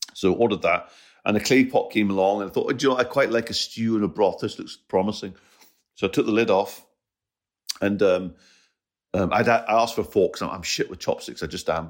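A man with a Scottish accent talks at a very fast pace broken by long, frequent pauses, in a very clean recording with a silent background. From Scotland. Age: 50s. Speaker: comedian. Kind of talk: casual chat.

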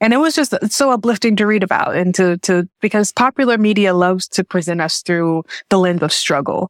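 In an American accent, a woman with a normal speaking voice talks at a moderate pace and fairly low pitch with ordinary pitch variation, on a very clean recording with a silent background and a dry, close sound with no echo. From Jackson, Tennessee (US South). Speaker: novelist. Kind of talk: interview.

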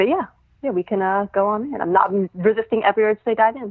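A woman speaks quite quickly in a normal speaking voice with an American accent. Her pitch sits fairly high. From New York City (Brooklyn). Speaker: returning podcast guest, song analyst. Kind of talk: casual chat.

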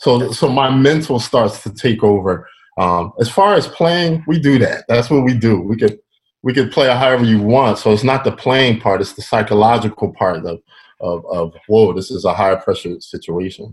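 A man with an American accent speaks at a medium pitch. His voice is somewhat breathy, with lively intonation. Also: moderate pace. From Philadelphia, US. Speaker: professional drummer. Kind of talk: casual interview chat.

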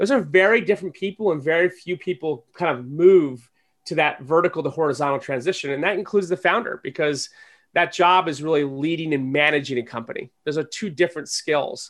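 A man in an ordinary speaking voice talks at a fairly quick pace, fairly high in pitch with ordinary pitch variation, on a very clean recording with a silent background. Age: 40s. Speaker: entrepreneur and angel investor. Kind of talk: interview.

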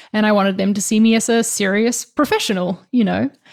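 The speaker talks at a fairly quick pace with a New Zealand accent and ordinary pitch variation. The recording is very clean against a silent background. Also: woman. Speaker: designer and YouTuber. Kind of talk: interview.

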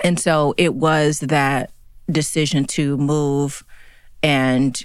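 A woman with an American accent speaks in a very deep, low voice with vocal fry and monotone, flat intonation. The recording is very clean, with a silent background. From US South, Chattanooga, Tennessee. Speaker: fashion executive and consultant. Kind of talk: interview. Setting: studio.

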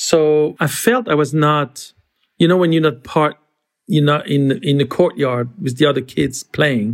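In a French accent, a man speaks at a fairly high pitch and a fairly slow pace, his loudness very even. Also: ordinary pitch variation. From France. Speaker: creative director. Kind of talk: interview. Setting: video call.

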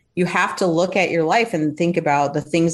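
A woman talks in an unremarkable speaking voice with a fairly low pitch. Her pitch variation is ordinary, and the background is quiet. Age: 50s. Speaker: psychotherapist. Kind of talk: casual interview.

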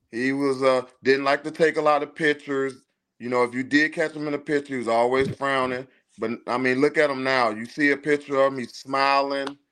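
A man with an American accent speaks at a fairly quick pace in a fairly high pitch. His intonation is monotone and flat over a quiet background. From Chicago. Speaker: parent of a football recruit. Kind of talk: casual chat.

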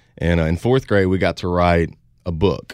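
A man with a Louisiana accent speaks in a very deep, low voice with ordinary pitch variation, on a very clean recording with a silent background. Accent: Southern US (Louisiana). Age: 20s. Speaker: country singer. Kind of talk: interview.

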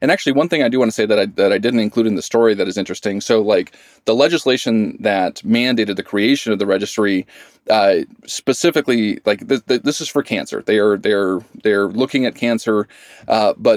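Against a very clean recording with a silent background and a dry, close sound with no echo, a man with an American accent talks very fast with ordinary pitch variation. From Idaho. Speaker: journalist, former wildland firefighter. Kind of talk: interview. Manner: halting, many fillers.

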